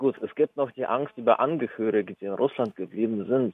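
A medium-pitched male voice with ordinary pitch variation. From Russia, St. Petersburg; moved to Germany as a child. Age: 20s. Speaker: activist, university student. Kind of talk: interview. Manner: halting.

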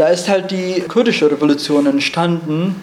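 There is audible room echo and noticeable background noise as a man speaks with a high pitch. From Rojava, northern Syria. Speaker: climate justice speaker, refugee. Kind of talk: lecture. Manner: halting, many fillers.

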